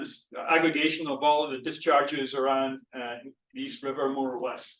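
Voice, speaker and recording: With audible room echo, a man speaks at a moderate pace in a Scottish accent. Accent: Scottish, still noticeable. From Scotland. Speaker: physical oceanographer, professor. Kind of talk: lecture. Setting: lecture hall with audience and Zoom. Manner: halting, many fillers and repeats.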